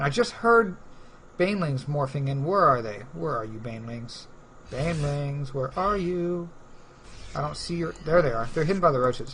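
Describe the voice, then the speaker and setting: A man's voice rings with audible room echo. His pitch is fairly high and his intonation lively. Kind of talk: live commentary. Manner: fast; stumbling over words.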